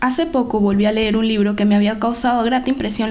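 A woman talks at a fairly quick pace with fairly even intonation, over noticeable background noise and audible room echo. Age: 20s. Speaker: podcast host. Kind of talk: motivational monologue.

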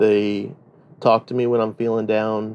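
Monotone, flat intonation marks this man's speech. He has a fairly low pitch and a fairly slow pace. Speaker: sugar daddy. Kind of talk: interview.

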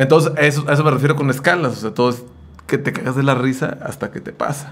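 A man's fairly high voice, an ordinary speaking voice, with fairly even intonation and a fairly quick pace. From Mexico, Jalisco (Sayula). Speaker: podcast co-host, musician. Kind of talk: casual chat.

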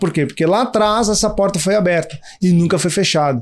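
This man's voice is high in pitch, and his pace is moderate. The recording is very clean, with a silent background. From Brazil, São Paulo. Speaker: startup co-founder. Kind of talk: interview.

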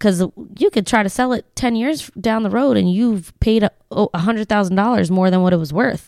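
At a fairly quick pace, a woman with an unremarkable speaking voice talks in an American accent at medium pitch, with ordinary pitch variation and very even loudness. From Lancaster, Pennsylvania (from age ten). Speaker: real estate agent. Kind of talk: casual interview chat.

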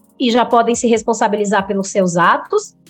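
A woman talks at a moderate pace. Music can be heard behind her. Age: 30s. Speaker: psychologist. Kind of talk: podcast interview.

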